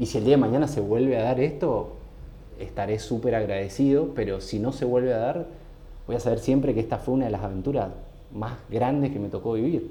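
Over audible room echo, a man with a medium pitch speaks at a fairly quick pace in a dark, mellow, somewhat breathy tone with ordinary pitch variation. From Argentina, San Rafael, Mendoza. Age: 30s. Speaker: designer and cycling community founder. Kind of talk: casual interview chat.

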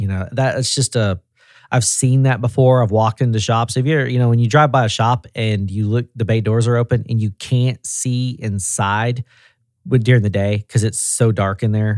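On a very clean recording with a silent background and a dry, close sound with no echo, a man with a Tennessee accent speaks at medium pitch and a moderate pace. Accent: Southern US (Tennessee). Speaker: auto repair regional director. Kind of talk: casual chat. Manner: animated.

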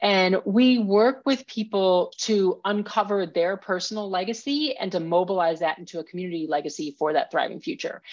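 Speaking at a moderate pace with hardly any pauses, a woman with an American accent uses a normal speaking voice at a medium pitch over a quiet background. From Minnesota. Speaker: professional climber and author. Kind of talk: interview.

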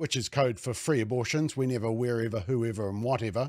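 At a fairly quick pace, a man with a New Zealand accent talks on a very clean recording with a silent background. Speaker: political commentator. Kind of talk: angry rant. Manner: sarcastic; indignant, mocking.

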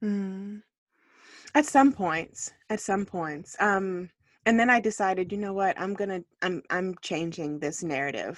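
Against a quiet background, a woman speaks at medium pitch and a fairly slow pace with ordinary pitch variation. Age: 30s. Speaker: author. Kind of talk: casual chat. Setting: recording in a closet at home. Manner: hushed, keeping it down.

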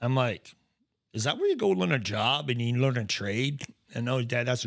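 A man speaks with an American accent. His pitch is medium, with ordinary variation. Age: 50s. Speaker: motorcycle accident survivor. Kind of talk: casual chat. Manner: halting.

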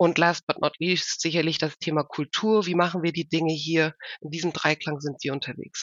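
A woman speaks at a very deep, low pitch. Her pace is moderate and her intonation fairly even. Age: 50s. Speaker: HR executive. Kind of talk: interview. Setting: video call.

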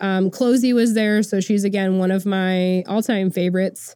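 At a moderate pace, a woman speaks at a fairly high pitch in a dark, mellow tone. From Oklahoma. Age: 30s. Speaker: podcast host. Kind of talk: casual personal storytelling.

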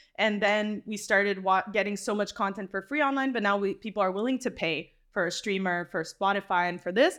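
Set against a quiet background, a plain, everyday voice moves at a fairly quick pace with ordinary pitch variation. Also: woman, medium pitch for a woman. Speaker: comedy festival programming manager. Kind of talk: roundtable discussion. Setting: live recording at a comedy festival.

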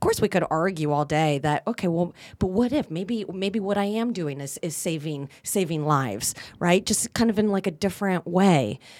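In an ordinary speaking voice, a woman with fairly low pitch talks at a moderate pace with lively intonation. The recording is very clean, with a silent background. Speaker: communication teacher and actor. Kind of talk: casual chat.

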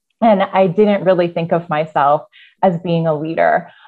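Music plays in the background as a woman talks at a moderate pace. Her pitch is fairly low, with ordinary variation. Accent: American. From US Midwest (Iowa). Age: 30s. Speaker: university program leader and hospice volunteer. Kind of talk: interview.

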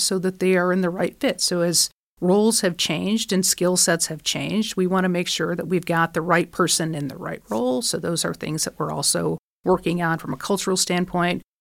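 A plain, everyday voice: a woman with an American accent, fairly low in pitch, with fairly even intonation at a moderate pace, in a very clean recording with a silent background. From Michigan. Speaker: college president. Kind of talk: interview.

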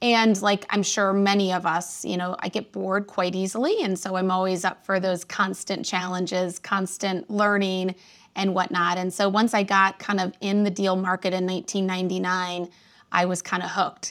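A woman's medium-pitched voice with an American accent, at a moderate pace, in a monotone, flat intonation. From US Midwest, northwest Indiana near Chicago. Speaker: accounting firm advisory executive. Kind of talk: interview.

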